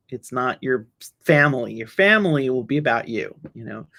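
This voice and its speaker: This woman has a very deep, low voice with an American accent. She talks at a moderate pace with ordinary pitch variation. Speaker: solutions engineer. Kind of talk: webinar talk with audience Q&A. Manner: halting, with many repetitions and fillers.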